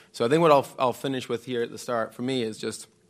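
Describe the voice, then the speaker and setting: A man speaks with a Scottish accent at a fairly quick pace. His pitch sits in the medium range, and his intonation stays fairly even. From Scotland. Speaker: former professional squash champion and academy director. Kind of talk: live panel discussion. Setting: stage with live audience.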